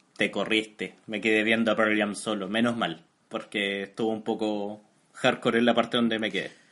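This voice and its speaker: A man with a Chilean accent speaks in a fairly low pitch at a moderate pace, his intonation monotone and flat. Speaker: podcast co-host. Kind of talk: casual chat.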